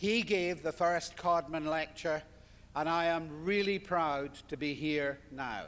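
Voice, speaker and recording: With a Scottish accent, the speaker talks at a very slow pace with ordinary pitch variation. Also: man, fairly high pitch for a man. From Scotland. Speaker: surgeon. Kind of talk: lecture.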